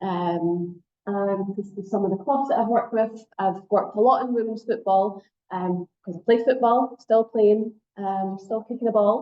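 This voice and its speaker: A woman speaks with a Scottish accent. Her pitch sits in the medium range. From Scotland. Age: middle-aged. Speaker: sport psychology lecturer. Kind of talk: workshop lecture. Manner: fast when excited.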